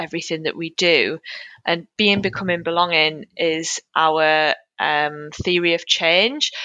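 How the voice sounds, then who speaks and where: Speaking in a Geordie accent, a woman uses a fairly low pitch at a fairly slow pace. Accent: Geordie northeast English. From Newcastle, northeast England. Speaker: charity communications manager. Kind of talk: casual interview chat. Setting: video or phone call.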